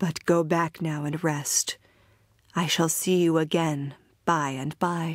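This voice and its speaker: In a very clean recording with a silent background, a woman does a put-on character voice at a fairly low pitch, speaking at a fairly slow pace with monotone, flat intonation. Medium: read story. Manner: gentle.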